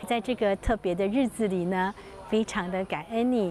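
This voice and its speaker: A woman is talking. Noticeable background noise runs behind her. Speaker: nurse. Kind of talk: birthday speech of thanks.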